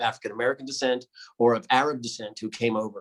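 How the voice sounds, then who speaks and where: Here a man talks with a New York accent. He goes at a very fast pace. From New York City. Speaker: pediatric intensive care doctor. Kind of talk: presentation.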